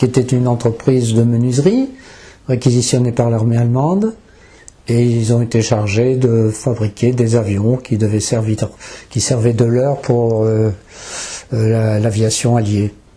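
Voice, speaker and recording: This man's voice is somewhat breathy, medium in pitch and dark and mellow in tone. His intonation stays fairly even, and his loudness is very even. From northern France. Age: 90s. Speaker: wartime witness. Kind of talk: interview testimony.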